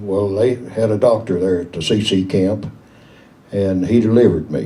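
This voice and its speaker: Audible room echo surrounds a man speaking with a Southern Appalachian accent. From East Tennessee, Smoky Mountains. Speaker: local elder telling memories. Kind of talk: storytelling to an audience.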